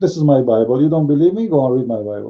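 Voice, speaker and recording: Speaking with a non-native accent, a man moves along at a fairly quick speed. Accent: noticeable foreign. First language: not English. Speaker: religious commentator. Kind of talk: live-stream commentary monologue. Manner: halting, many fillers and repetitions.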